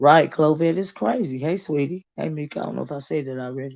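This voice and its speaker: Her voice is very deep and low, carrying a Southern US accent at a moderate pace. This woman uses ordinary pitch variation, and the background is quiet. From US South. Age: 50s. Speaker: YouTube commentary streamer. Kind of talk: live stream chat. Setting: livestream on a phone. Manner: casual, halting with many fillers.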